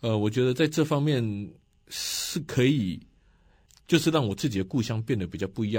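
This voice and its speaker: The recording is very clean, with a silent background. A man with a Taiwanese accent speaks at a medium pitch and a fairly quick pace. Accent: Taiwanese Mandarin. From Taiwan, Nantou County. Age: 40s. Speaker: county councillor and local election candidate. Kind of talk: radio interview.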